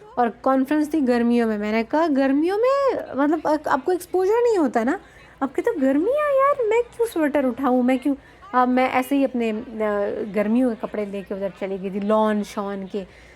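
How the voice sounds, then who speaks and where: Against noticeable background noise, a woman with a high pitch speaks at a moderate pace in an animated tone with very wide pitch swings. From Balochistan, Pakistan. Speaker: vlogger, academic speaker. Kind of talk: casual storytelling vlog. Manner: animated, code-switching Hindi-Urdu and English; hesitant fillers.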